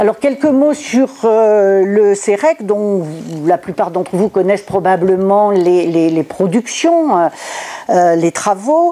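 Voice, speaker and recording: Speaking at a very slow pace, a woman keeps her loudness very even, with medium pitch and lively intonation. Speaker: sociologist giving a conference talk. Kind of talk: lecture. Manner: hesitant, many filler sounds.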